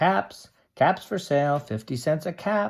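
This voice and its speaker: A man performs a put-on character voice. It sits fairly high in pitch and swings very widely. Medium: read story. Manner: calling out, scolding.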